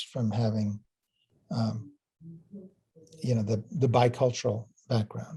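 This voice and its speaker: A somewhat breathy man's voice at a medium pitch moves at a fairly slow pace. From US, Illinois, Puerto Rican family. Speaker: physics professor. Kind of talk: interview. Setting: student interview. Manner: hesitant, repeats words.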